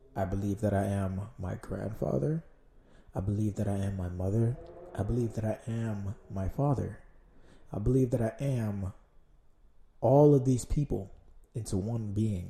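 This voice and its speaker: A man's dark, mellow, somewhat breathy voice at a moderate pace, with ordinary pitch variation and long, frequent pauses. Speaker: solo podcast host. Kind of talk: casual monologue. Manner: rambling, hesitant with fillers.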